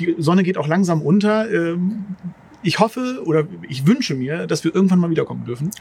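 Speaking at a high pitch, a man talks. His pace is fairly quick. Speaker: podcast host. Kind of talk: casual chat. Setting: outdoors in a garden.

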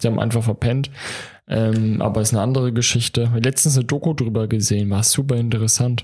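At a very fast pace, a man talks at medium pitch with a dark, mellow tone that is somewhat breathy. His loudness stays very even and his intonation fairly even. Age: 20s. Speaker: podcast co-host. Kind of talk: casual chat.

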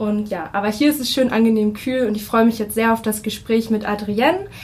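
A woman's voice carries audible room echo. There is noticeable background noise as well. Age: 20s. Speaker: podcast host. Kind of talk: interview. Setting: conference room.

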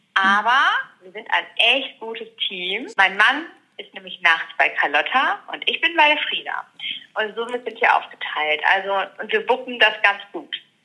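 A woman talks at a fairly slow pace with a fairly high pitch. Her voice makes very wide pitch swings and big swings in loudness. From Ruhr area, Germany. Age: 30s. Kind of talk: interview.

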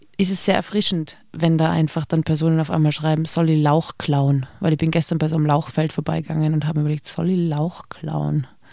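In a dark, mellow tone, the speaker moves at a fairly quick pace with monotone, flat intonation. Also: woman. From Austria, Tyrol. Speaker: cabaret comedian. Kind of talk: casual interview.

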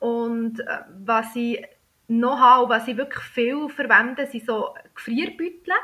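A woman with a Bernese accent speaks at a high pitch and fairly slow pace, with ordinary pitch variation. She pauses long and often. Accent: Bernese Swiss German dialect. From Switzerland, Bern. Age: 30s. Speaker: pharmacist and food blogger. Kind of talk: casual chat.

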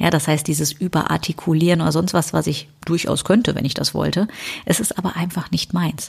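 In a Rhineland accent, a woman speaks at a fairly quick pace with a fairly low pitch, fairly even intonation and vocal fry. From Rhineland, western Germany. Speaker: business coach and podcast host. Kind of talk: solo podcast monologue. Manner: casual, conversational.

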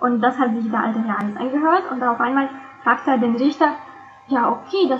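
Over noticeable background noise, a woman speaks in a high voice. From Russia (St. Petersburg). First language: Russian (speaking German). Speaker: interpreter and translator. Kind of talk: interview.

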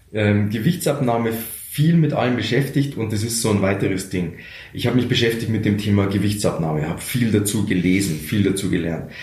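A man with a Bavarian accent talks at a fairly quick pace. There is noticeable background noise and audible room echo. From Lower Bavaria, Germany. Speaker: radio comedian and motivational speaker. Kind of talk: interview conversation. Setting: office.

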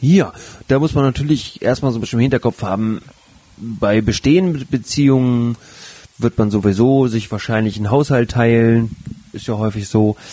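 A plain, everyday voice from a man, medium in pitch, with ordinary pitch variation and a moderate pace. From northern Germany, Flensburg. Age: 30s. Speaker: sex educator and podcast co-host. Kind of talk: casual chat.

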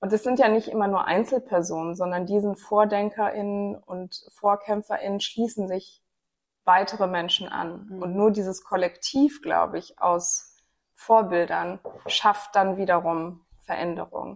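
Using an unremarkable speaking voice, a woman speaks at a fairly slow pace and a medium pitch with fairly even intonation. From Rhineland, Germany (Bonn). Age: 30s. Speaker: podcast host and gender equality advocate. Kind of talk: casual discussion.

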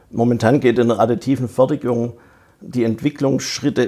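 The man's voice is somewhat breathy, with a dark, mellow tone and fairly even intonation. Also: very clean recording, silent background. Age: 50s. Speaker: digital innovation manager. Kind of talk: interview.

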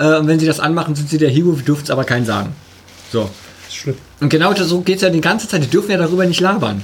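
Speech comes at a very fast pace against noticeable background noise. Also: man. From eastern Germany. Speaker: podcast co-host. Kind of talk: casual chat. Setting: studio.

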